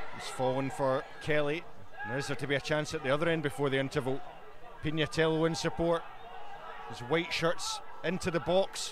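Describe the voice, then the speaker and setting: A man speaks at a fairly quick pace with a Scottish accent and fairly high pitch, with ordinary pitch variation. He leaves long, frequent pauses over noticeable background noise. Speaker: match commentator. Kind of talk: live football commentary. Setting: stadium, outdoors in bad weather.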